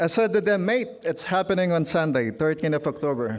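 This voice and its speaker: With a Filipino accent, a high-pitched man speaks at a moderate pace. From Philippines. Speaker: trade union leader. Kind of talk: speech. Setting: stage with audience. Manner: formal.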